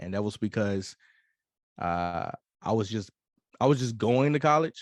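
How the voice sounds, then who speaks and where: With lively intonation, a man speaks at a moderate pace and a fairly low pitch. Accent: Mississippi. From US South, Mississippi. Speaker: hip-hop artist and Air Force veteran. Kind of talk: interview conversation. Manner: halting, many fillers.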